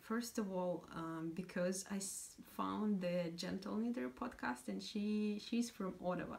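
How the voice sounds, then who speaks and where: Speaking with a Russian accent and ordinary pitch variation, a woman is heard against noticeable background noise. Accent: Russian accent, non-native English. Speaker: knitting podcaster. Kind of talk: casual vlog chat. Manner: hesitant, many fillers.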